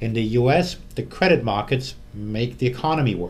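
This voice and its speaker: In audible room echo, a man with a German accent speaks at medium pitch in a somewhat breathy voice with very wide pitch swings. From Germany. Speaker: currency fund manager. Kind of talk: interview.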